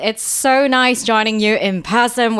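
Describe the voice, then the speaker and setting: Here a woman speaks with a British accent. Her pace is fairly slow. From Hong Kong. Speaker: podcast guest.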